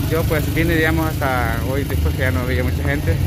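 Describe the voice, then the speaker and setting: Loud background noise runs behind a man speaking at a moderate pace with ordinary pitch variation, the sound itself dry with no echo. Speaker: local vlogger. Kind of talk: casual vlog commentary. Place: street. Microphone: phone near.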